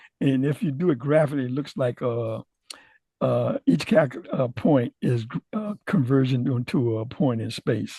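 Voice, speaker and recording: This man's voice is somewhat breathy, with a dark, mellow tone and medium pitch. He talks at a moderate pace with lively intonation. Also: dry, close sound with no echo. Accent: American. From US South. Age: 80s+. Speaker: retired aerospace scientist. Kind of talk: technical presentation. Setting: video call. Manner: halting.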